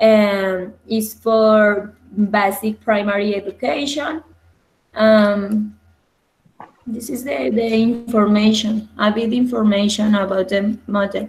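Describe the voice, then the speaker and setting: Very slow and with fairly even intonation, the speech carries a non-native accent. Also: woman, fairly high pitch for a woman. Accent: non-native English pronunciation. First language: Spanish. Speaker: university student. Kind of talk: class video debate. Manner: halting.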